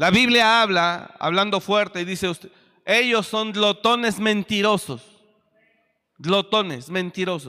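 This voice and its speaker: Raised and projected, a man's high-pitched voice has a bright, sharp, animated tone, ordinary pitch variation and a fairly slow pace. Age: 40s. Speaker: pastor. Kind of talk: sermon.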